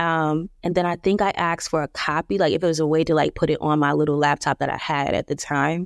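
A woman with an American accent has an ordinary speaking voice, talking at a fairly low pitch and a fairly quick pace, the sound dry and close with no echo on a very clean recording with a silent background. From New Jersey. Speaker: graphic designer and entrepreneur. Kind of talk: casual interview.

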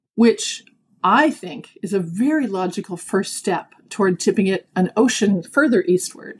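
A woman speaks with a Canadian accent at medium pitch, somewhat breathy. Her intonation is lively and her pace fairly slow. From Canada, Toronto. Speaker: executive coach. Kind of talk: interview.

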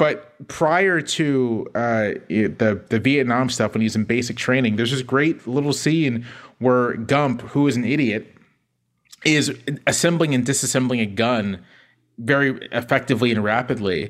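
A man speaks with a normal speaking voice and an American accent. His medium pitch shows ordinary variation at a fairly slow pace. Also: very even loudness. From US South, Virginia. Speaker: newspaper columnist. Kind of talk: casual chat.

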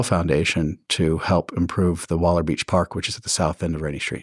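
With an American accent, the speaker talks at a fairly quick pace in a very clean recording with a silent background. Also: man. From West Virginia and Houston, Texas. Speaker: real estate executive. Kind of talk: interview.

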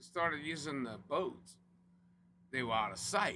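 In a Louisiana accent, a man speaks with lively intonation and a bright, sharp tone. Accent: Cajun Louisiana. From South Louisiana (Cajun). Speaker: oilfield company representative. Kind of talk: casual chat.

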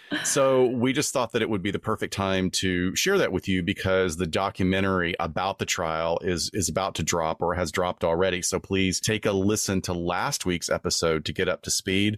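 A man speaks with a very deep, low pitch, ordinary pitch variation and very even loudness. The recording is very clean with a silent background, and the sound is dry and close with no echo. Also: moderate pace. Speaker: forensic psychologist podcast host. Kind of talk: casual conversational podcast discussion.

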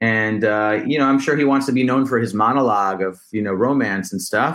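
With an American accent, a man speaks in a normal speaking voice at a moderate pace with ordinary pitch variation. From New Jersey, US. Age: 30s. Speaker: rapper. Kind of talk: casual interview chat.

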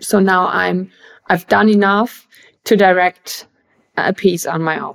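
A woman with a German accent speaks at a medium pitch in a flat monotone, keeping a fairly slow pace with long, frequent pauses. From Germany, Bavaria. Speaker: actress and filmmaker. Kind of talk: interview. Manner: halting.

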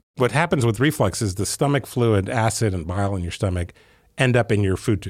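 A man speaks at a fairly quick pace in a fairly low, somewhat breathy voice with ordinary pitch variation, on a very clean recording with a silent background. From Ethiopia. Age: 50s. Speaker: surgeon and company executive. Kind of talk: interview.

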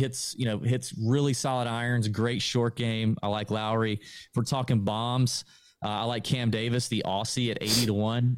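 In a very clean recording with a silent background, a man uses a normal speaking voice at a medium pitch, with an American accent. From US South, Augusta, Georgia. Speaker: golf podcaster. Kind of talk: casual interview.

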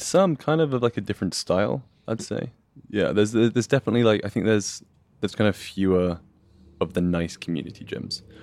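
In a very clean recording with a silent background, a man with an English accent speaks very fast at a fairly low pitch with lively intonation. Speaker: brand designer, powerlifter. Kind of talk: casual chat.

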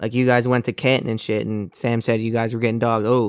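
On a very clean recording with a silent background, a plain, everyday voice moves at a fairly quick pace. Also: man. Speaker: podcast co-host. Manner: excitable, profane.

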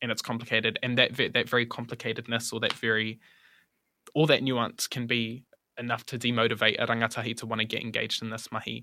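A bright, sharp voice rattles along very fast in a flat monotone on a very clean recording with a silent background. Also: man, medium pitch for a man. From New Zealand, Auckland. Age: 20s. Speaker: activist. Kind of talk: interview conversation.

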